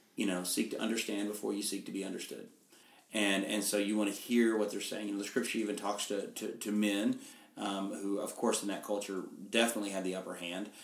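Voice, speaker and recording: A man talks very fast in a monotone, flat way with a fairly low pitch. Room echo can be heard. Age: 50s. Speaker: pastor. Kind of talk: casual interview. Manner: halting, many fillers.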